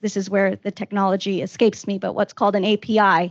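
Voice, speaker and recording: Against a quiet background, a woman speaks at a fairly quick pace with medium pitch and fairly even intonation, in a dry, close sound with no echo. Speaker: compliance professional at a pharmaceutical company. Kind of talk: panel discussion. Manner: loud.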